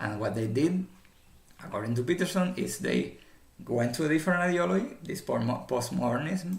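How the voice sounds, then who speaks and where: Very wide pitch swings and vocal fry at a fairly quick pace. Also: man. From former communist country. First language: not English. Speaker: commentator. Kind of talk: casual commentary monologue. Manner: halting, many fillers and repetitions.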